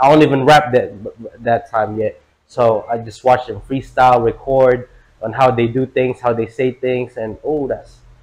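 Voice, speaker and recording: This man talks at a moderate pace and medium pitch. His intonation is monotone and flat. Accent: Filipino. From Philippines. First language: Tagalog. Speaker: rapper. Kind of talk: casual interview. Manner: halting, many fillers.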